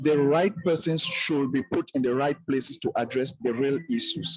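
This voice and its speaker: Moderately paced male speech with clearly audible background noise. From Cameroon. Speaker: teacher, roundtable participant. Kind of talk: online roundtable comment.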